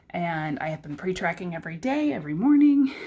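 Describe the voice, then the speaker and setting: Her voice ranging through very wide pitch swings, a woman is speaking. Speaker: weight loss vlogger. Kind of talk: casual vlog update. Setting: at home. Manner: soft-spoken.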